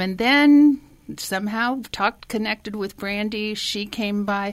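A woman talks at a fairly slow pace in a plain, everyday voice, with ordinary pitch variation. The recording is very clean, with a silent background. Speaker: meal delivery volunteer. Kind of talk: radio interview.

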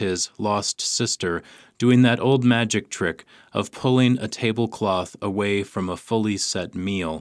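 A plain, everyday voice from a man, fairly low-pitched with ordinary pitch variation, at a fairly slow pace on a very clean recording with a silent background. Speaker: radio host and poetry reader. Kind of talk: poem reading. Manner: slow, measured, hushed and lyrical; deliberate pauses at line breaks.

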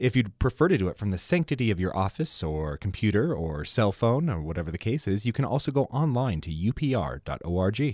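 A man with a fairly low voice talks at a fairly quick clip, his pitch swinging very widely and hardly pausing, in a very clean, dry, close recording with a silent background and no echo. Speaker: public radio fundraiser. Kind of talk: fundraising pitch.

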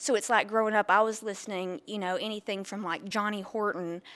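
A woman with a normal speaking voice talks at a fairly quick pace with fairly even intonation. The recording is very clean, with a silent background. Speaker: record store owner. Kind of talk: interview. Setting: in her shop.

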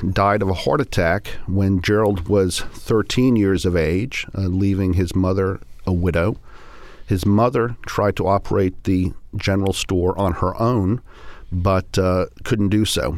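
The recording is very clean, with a silent background. A man talks at a fairly slow pace in a fairly low pitch, with very even loudness. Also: ordinary pitch variation. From England, then US (Colorado, Florida) from age eight. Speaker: sociology professor and author. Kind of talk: radio interview. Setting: studio.

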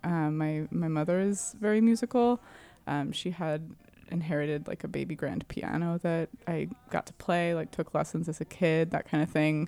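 A woman with a fairly low pitch and a dark, mellow tone speaks at a moderate pace with ordinary pitch variation. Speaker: keyboard player in band. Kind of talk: interview. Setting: studio.

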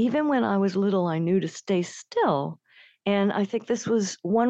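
A woman in a normal speaking voice talks at a medium pitch and a fairly slow pace with ordinary pitch variation, the sound dry and close with no echo over a quiet background. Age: 60s. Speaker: nature writer. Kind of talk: interview. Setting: remote from home.

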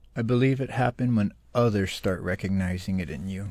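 A man's fairly low voice with an American accent, a normal speaking voice, fairly even intonation and a moderate pace. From Florida Everglades, Miccosukee Reservation. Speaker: filmmaker. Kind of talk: interview. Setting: remote studio.

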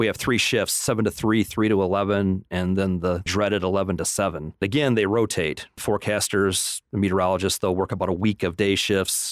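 A man speaks at a fairly quick pace in a plain, everyday voice, pitched fairly low. His intonation is fairly even, and the sound is dry and close with no echo. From Michigan, Flint. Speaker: meteorologist. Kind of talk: radio interview.

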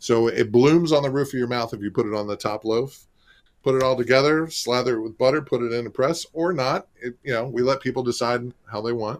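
A man speaks with an ordinary speaking voice at medium pitch and a fairly quick pace, his intonation fairly even. The recording is very clean, with a silent background. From St. Petersburg, Florida. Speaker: restaurant marketing executive and former food writer. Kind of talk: radio interview.

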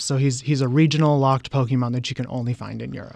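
In a normal speaking voice, a man talks at a medium pitch with fairly even intonation on a very clean recording with a silent background. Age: 30s. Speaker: game enthusiast. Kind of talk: radio interview.

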